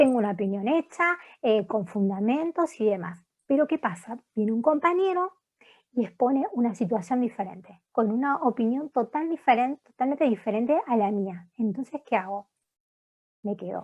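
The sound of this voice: At a moderate pace, a woman speaks with lively intonation and a slightly mellow tone. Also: fairly high pitch for a woman.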